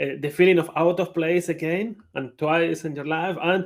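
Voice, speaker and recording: A man's high-pitched, monotone, flat delivery at a moderate pace, with a Spanish accent. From Spain. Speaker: conference speaker, IT project manager. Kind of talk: conference talk.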